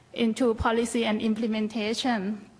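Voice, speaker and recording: A woman with a Thai accent speaks fairly slowly in a fairly high, somewhat breathy voice with monotone, flat intonation. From Thailand. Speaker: health policy researcher. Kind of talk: conference panel talk. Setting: conference stage with audience.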